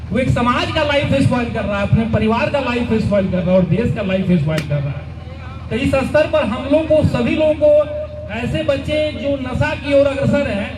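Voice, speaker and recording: Lively intonation comes through over audible room echo and noticeable background noise. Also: man. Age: 50s. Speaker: railway police commandant. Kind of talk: public speech. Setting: stage with audience.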